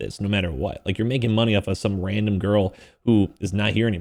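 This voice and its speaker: This man sounds animated, with a fairly low pitch. The recording is very clean, with a silent background. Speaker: gaming news commentator. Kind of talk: casual commentary video. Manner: fast.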